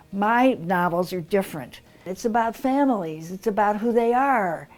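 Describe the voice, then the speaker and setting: A woman's fairly high voice with lively intonation over music in the background. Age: 80s+. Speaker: novelist. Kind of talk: interview answer.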